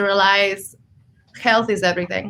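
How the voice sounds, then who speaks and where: At a moderate pace, a woman with a slight Argentine accent speaks at a medium pitch with fairly even intonation. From Argentina. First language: Spanish. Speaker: health coach and energy healer. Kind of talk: interview. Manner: hesitant, many fillers.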